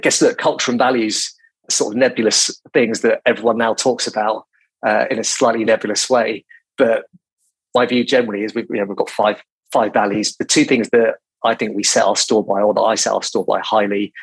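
A man with a British accent speaks at a fairly quick pace, the sound dry and close with no echo. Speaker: recruitment company CEO. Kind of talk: interview. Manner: calm, considered.

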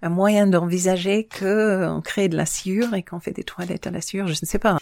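This is a plain, everyday voice at a fairly slow pace. The sound is dry and close, with no echo. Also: woman. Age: 50s. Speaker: island resident, former wine estate worker. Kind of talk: interview.

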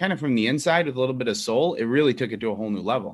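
Over a quiet background, a man with a Chicago accent talks with ordinary pitch variation. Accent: Chicago American. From Chicago, Elmwood Park. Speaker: executive chef. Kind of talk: interview.

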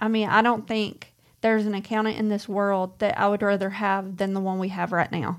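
In a Mississippi accent, a woman talks at a medium pitch and a moderate pace. Her intonation is monotone and flat, in a very clean recording with a silent background. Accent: US Southern (Mississippi). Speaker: co-host of woodworking channel. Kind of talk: casual livestream chat.

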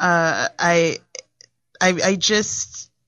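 Music plays behind a woman as she talks. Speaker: blogger. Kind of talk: casual chat.

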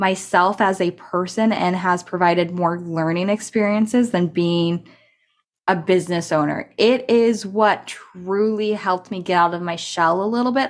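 At a fairly slow pace, a woman with an American accent speaks at a medium pitch with ordinary pitch variation in a plain, everyday voice, captured in a very clean recording with a silent background. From California. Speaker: podcast host and business tech mentor. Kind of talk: personal storytelling monologue. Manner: casual, conversational.

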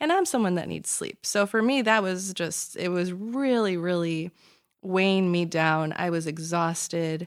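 The recording is very clean, with a silent background. A woman with a fairly low pitch and ordinary pitch variation speaks at a fairly slow pace. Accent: Chicago. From Chicago area, US. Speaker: lawyer. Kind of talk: casual interview chat. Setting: studio.

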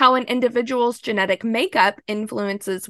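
In a dry, close sound with no echo, a woman talks at a moderate pace with ordinary pitch variation. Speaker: podcast host. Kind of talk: scripted narration.

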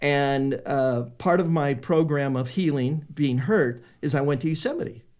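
With an American accent, a man speaks at a fairly slow pace with hardly any pauses, using a fairly high pitch, ordinary pitch variation and very even loudness. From US West Coast, Sacramento, California. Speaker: painter. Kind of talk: interview. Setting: studio. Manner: halting.

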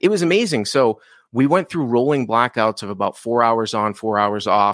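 A man talks at a fairly quick pace in a normal speaking voice, with ordinary pitch variation and a dry, close sound with no echo on a very clean recording with a silent background. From Boston, Massachusetts. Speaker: poker coach and content creator. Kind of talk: casual interview chat.

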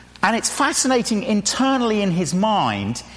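A man talks in an animated tone at a high pitch and a fairly slow pace. Noticeable background noise is present. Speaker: preacher. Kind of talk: sermon. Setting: church. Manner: animated, humorous.

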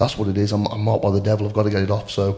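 A man with a West Midlands accent talks very fast in a fairly low, somewhat breathy voice. His tone is dark and mellow, and his intonation is monotone and flat. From Shropshire, England. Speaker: amateur rugby player. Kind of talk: personal testimony in casual interview.

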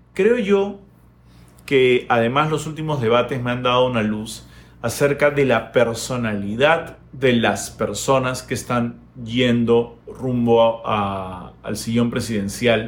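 Audible room echo surrounds a man who speaks at a very slow pace in a medium pitch with ordinary pitch variation. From Peru. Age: 40s. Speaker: YouTuber. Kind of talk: opinion monologue. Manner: hesitant fillers.

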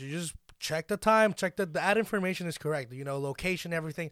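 A high-pitched man's animated voice at a fairly quick pace, with ordinary pitch variation and big swings in loudness, on a very clean recording with a silent background. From Dominican Republic. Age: 20s. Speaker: podcast co-host. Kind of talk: casual chat.

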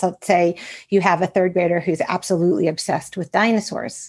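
An unremarkable speaking voice with an American accent comes through here. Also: woman. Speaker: school counselor and author. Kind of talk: interview conversation.

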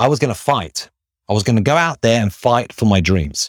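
In a very clean recording with a silent background, a man speaks at a fairly quick pace with an animated tone, lively intonation and a fairly low pitch, the sound dry and close with no echo. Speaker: recruitment headhunter and careers coach, club host. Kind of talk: motivational talk leading a live audio room. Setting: live social audio room. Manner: animated, motivational.

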